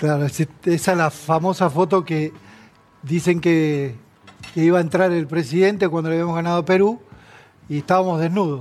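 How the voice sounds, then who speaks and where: A man talks at a moderate pace in a high-pitched voice with fairly even intonation. He leaves long, frequent pauses. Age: 60s. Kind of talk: casual chat.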